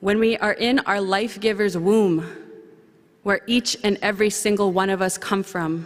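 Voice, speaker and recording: The speaker keeps a moderate pace with fairly even intonation and very even loudness. Noticeable background noise runs under the voice. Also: woman, medium pitch for a woman. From central Canada, Anishinaabe First Nation community. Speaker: young professionals committee representative speaking at conference. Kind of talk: ceremonial speech. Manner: formal.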